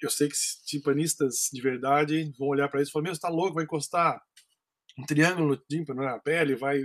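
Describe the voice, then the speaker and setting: An ordinary speaking voice, a man's, at a fairly high pitch and fairly quick pace. The intonation is fairly even, and the sound is dry and close with no echo. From Brazil, Campinas (São Paulo state). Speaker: percussionist. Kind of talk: interview.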